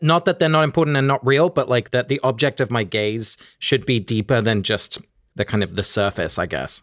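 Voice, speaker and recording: A man with an ordinary speaking voice, lively intonation and a fairly quick pace, in a dry, close sound with no echo. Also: medium pitch for a man, very clean recording, silent background. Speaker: podcast co-host. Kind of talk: casual chat.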